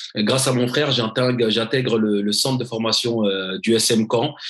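A man talks at a fairly slow pace. His pitch is medium, and his intonation stays fairly even. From Paris suburbs (Seine-Saint-Denis). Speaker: former pro footballer, motivational speaker. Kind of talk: interview. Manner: halting, many repetitions.

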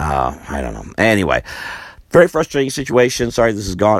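Very fast speech from a man, with noticeable background noise behind it. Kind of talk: personal vlog monologue.

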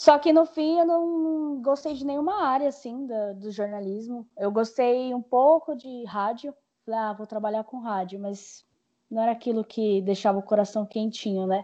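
Speaking at a moderate pace, a woman with an unremarkable speaking voice talks at a fairly high pitch, her intonation lively and her loudness swinging widely. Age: 20s. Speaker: journalism graduate working in sales representation. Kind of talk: casual chat.

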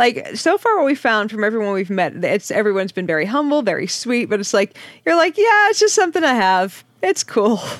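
At a fairly quick pace, a woman talks in a fairly high pitch. Her voice makes very wide pitch swings. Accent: American. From Boston, US Northeast. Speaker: podcast co-host. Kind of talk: casual comedic chat.

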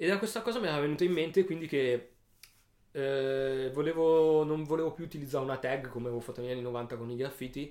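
A man's fairly high voice races along at a very fast pace with ordinary pitch variation. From Italy, Alessandria (Piedmont). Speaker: painter and street artist. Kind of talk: interview. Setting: studio. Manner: halting, many repetitions.

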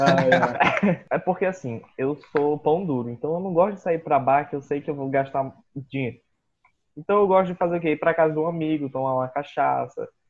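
An unremarkable speaking voice from a man, fairly high in pitch, at a moderate pace with ordinary pitch variation. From Brazil, Boa Vista, Roraima. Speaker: podcast co-host, illustrator. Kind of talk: casual chat.

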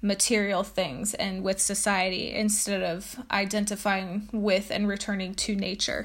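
A somewhat breathy woman speaks fairly slowly with fairly even intonation. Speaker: podcast host. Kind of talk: educational talk, with a poem read aloud. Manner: explanatory, teacher-like, with frequent um and uh fillers.

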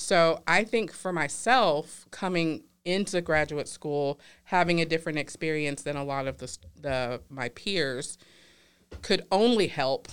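In a very clean recording with a silent background, a woman with an American accent speaks at a fairly slow pace in a very deep, low pitch, her intonation lively. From US South, Louisiana. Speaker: clinical psychologist. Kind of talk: casual interview chat.

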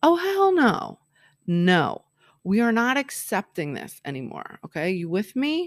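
In a very clean recording with a silent background and a dry, close sound with no echo, a woman with a fairly high pitch speaks at a fairly slow pace in an animated tone with very wide pitch swings. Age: 40s. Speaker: life and love coach, podcast host. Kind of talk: solo motivational talk.

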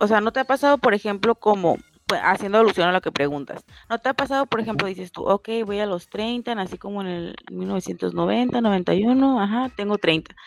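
With a Mexican accent, a woman speaks at a medium pitch and a moderate pace. Music plays in the background, and the sound is dry and close with no echo. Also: ordinary pitch variation. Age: 30s. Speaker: podcast co-host. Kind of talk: casual chat.

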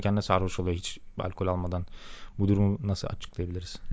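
A man speaks at a fairly low pitch. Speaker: software engineer, podcast co-host. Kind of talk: casual chat. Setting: home studio.

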